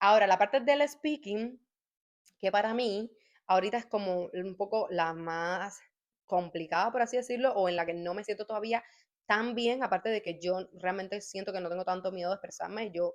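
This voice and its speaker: Against a quiet background, a woman speaks at a moderate pace and a medium pitch with ordinary pitch variation. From Cuba. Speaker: YouTuber sharing language-learning tips. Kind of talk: casual vlog talk.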